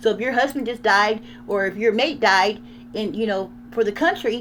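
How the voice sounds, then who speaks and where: A woman with a fairly high pitch talks in an animated tone, her pitch varying in an ordinary way. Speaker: channel owner sharing VA loan experience. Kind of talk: casual commentary. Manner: fast.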